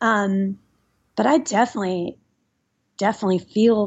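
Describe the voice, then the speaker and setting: A woman with an American accent has an ordinary speaking voice at a medium pitch. Her pitch varies in an ordinary way, and her pace is moderate. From US South, Nashville, Tennessee. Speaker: musician and lawyer. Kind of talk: casual chat.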